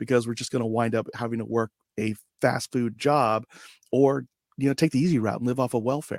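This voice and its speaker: A man speaks in an ordinary speaking voice at medium pitch and a moderate pace, with fairly even intonation, in a dry, close, echo-free sound on a very clean recording with a silent background. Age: 40s. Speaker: podcaster and author, army veteran. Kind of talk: casual interview.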